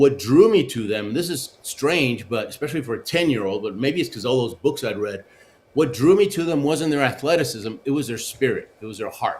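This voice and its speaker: Speaking at a fairly quick pace, a man with a Spanish accent uses a fairly high pitch and lively intonation. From Argentina, then Houston, Texas. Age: 60s. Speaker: Olympic luge athlete and motivational speaker. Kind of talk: interview, life story. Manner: animated, with frequent fillers.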